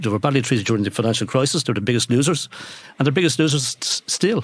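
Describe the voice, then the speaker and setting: A man's medium-pitched voice with an Irish accent and ordinary pitch variation. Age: 60s. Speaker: economist. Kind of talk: interview. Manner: halting.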